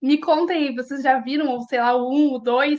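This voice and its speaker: A woman's animated voice over a quiet background. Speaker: teacher. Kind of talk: online lecture. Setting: live video class from home.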